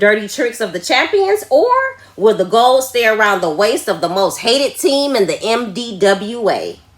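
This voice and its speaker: With noticeable background noise behind her, a woman with a fairly high voice speaks in a dramatic tone at a moderate pace with lively intonation. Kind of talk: wrestling promo announcer voiceover. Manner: hyped, dramatic.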